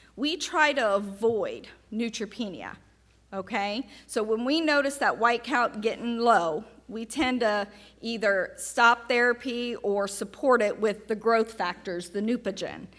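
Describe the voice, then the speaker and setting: Speaking with a Southern US accent, a woman uses a fairly high pitch, ordinary pitch variation and a fairly slow pace. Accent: Southern American. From US South. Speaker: oncology nurse. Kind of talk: patient education talk. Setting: seminar with live audience.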